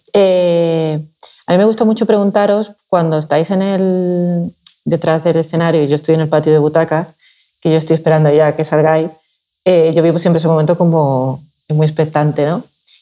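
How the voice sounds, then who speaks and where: A woman talks at a moderate pace with a fairly low pitch and a dark, mellow tone. Her intonation stays fairly even, and her loudness is very even. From Seville, Andalusia. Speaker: podcast host. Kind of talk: interview conversation.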